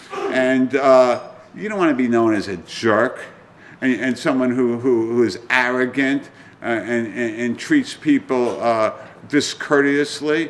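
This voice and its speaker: A man at medium pitch, speaking fairly slowly with ordinary pitch variation amid audible room echo. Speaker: trial lawyer giving a seminar talk. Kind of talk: lecture to lawyers. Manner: animated, halting with repetitions.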